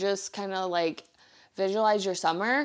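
A woman's voice at medium pitch comes through on a very clean recording with a silent background. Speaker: lifestyle podcast host. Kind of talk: casual solo chat. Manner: animated.

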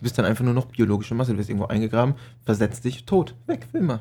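A man's somewhat breathy, dark, mellow voice at medium pitch, with ordinary pitch variation and a very fast pace. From Palatinate, Germany. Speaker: podcast co-host. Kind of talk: casual chat.

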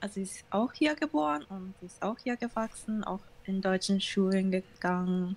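In a Japanese accent, a woman speaks fairly slowly in a somewhat breathy, medium-pitched voice with ordinary pitch variation. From Germany, Düsseldorf, Japanese family. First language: Japanese (speaking German). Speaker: interview guest. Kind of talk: casual interview. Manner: halting.

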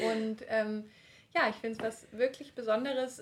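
A woman with an unremarkable speaking voice talks at a moderate pace, her pitch fairly high and her intonation fairly even. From eastern Germany (Leipzig). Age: 30s. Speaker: midwife. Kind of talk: casual interview.

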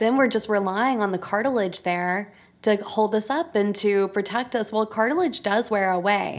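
A woman with an American accent speaks at a moderate pace in a normal speaking voice, fairly high in pitch, with ordinary pitch variation and very even loudness. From US, military family. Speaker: doctor of physical therapy. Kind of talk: interview.

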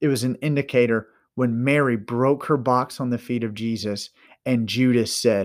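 At a moderate pace and medium pitch, a man speaks on a very clean recording with a silent background. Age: young. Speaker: minister and podcast host. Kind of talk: sermon-style podcast monologue.

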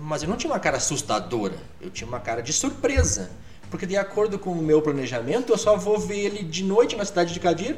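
Very fast speech with very wide pitch swings comes through over noticeable background noise. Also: man, high pitch for a man. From Brazil, Rio Grande do Sul (Alegrete, near the Argentine and Uruguayan border). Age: 50s. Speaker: English teacher. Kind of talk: casual chat.

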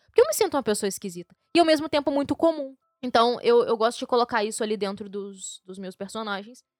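Over music in the background, a woman speaks with lively intonation and high pitch in a dry, close sound with no echo. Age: 20s. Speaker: podcast host. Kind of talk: casual chat.

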